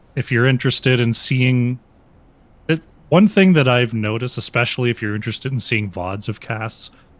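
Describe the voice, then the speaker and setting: A man of medium pitch speaks at a moderate pace with an Ottawa accent. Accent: Canadian (Ottawa area). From Eastern Canada, Ottawa area. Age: 30s. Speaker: esports caster and team captain. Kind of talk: casual interview chat. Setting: live stream.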